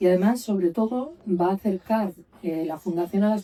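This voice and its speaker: Her pitch varying in an ordinary way, a woman talks at a fairly slow pace. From Galicia, Lugo. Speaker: trade union official. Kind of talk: panel talk.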